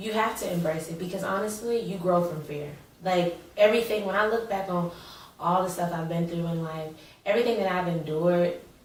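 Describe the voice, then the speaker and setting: Against noticeable background noise and audible room echo, a woman with an American accent speaks at a fairly quick pace, fairly low in pitch, with fairly even intonation. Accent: Southern Atlanta accent, sometimes heavy. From Atlanta, US South. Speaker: actress. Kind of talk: interview.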